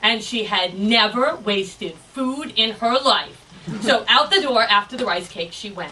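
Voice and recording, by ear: The speaker is reading aloud in a natural voice, with pitch that varies in an ordinary way.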